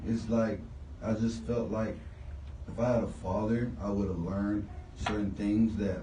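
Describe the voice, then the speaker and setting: A man speaks at a fairly slow pace with an American accent and a fairly low pitch. Room echo is audible. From Houston, Texas (Southwest). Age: 20s. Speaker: rapper. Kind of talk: radio interview.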